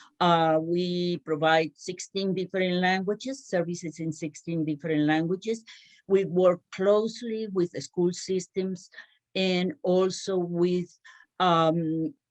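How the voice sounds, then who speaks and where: A woman with a Spanish accent speaks at a fairly slow pace in a fairly low pitch. Her intonation is fairly even, and the sound is dry and close with no echo. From Cuba. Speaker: small business owner. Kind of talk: panel discussion. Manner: halting.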